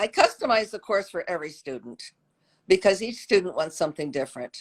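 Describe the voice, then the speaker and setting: Her pitch swings very widely, and her loudness swings a lot too. A woman at a medium pitch talks at a fairly quick pace. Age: 80s+. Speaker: pastry chef and former shoe designer. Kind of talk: casual chat. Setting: video call.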